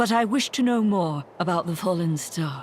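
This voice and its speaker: The speaker uses a put-on character voice at a middle pitch and moderate pace. Background noise is clearly audible. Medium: video game. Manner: calm, terse.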